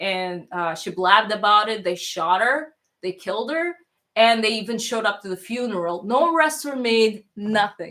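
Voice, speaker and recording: A woman speaks at a moderate pace in a fairly high voice, her intonation lively and her tone bright and sharp. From Toronto, Canada; born in Russia, moved at nine. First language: Russian. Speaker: streamer. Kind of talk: casual chat. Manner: halting, many fillers and restarts.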